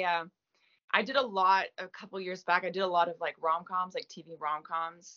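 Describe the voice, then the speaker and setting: Moving at a moderate pace, a woman's medium-pitched voice shows big swings in loudness. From Quebec, Gaspé. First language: French. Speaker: actress. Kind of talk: interview. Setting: video call.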